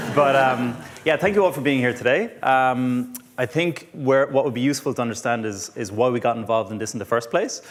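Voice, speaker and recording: This man's voice sits at a medium pitch with ordinary pitch variation. He talks at a fairly quick pace over noticeable background noise. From Ireland. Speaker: physiotherapist. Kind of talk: conference talk. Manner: hesitant, many fillers.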